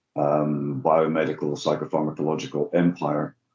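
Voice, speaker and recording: A man's very deep, low voice with a dark, mellow tone, a fairly slow pace and monotone, flat intonation. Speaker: addiction researcher. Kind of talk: webinar discussion. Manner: hesitant, many fillers.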